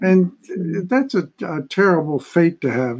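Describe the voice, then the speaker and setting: Lively in intonation and high in pitch, a man speaks at a fairly slow pace. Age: 80s. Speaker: consulting actuary and senior living advocate. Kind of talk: interview, conversational. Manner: halting, with many fillers.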